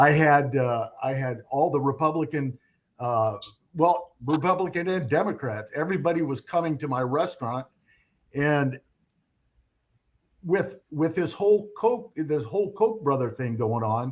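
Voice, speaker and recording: A man with a fairly high pitch speaks at a fairly slow pace. He leaves long, frequent pauses. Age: 60s. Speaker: restaurant owner and former city council candidate. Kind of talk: live stream chat. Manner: halting.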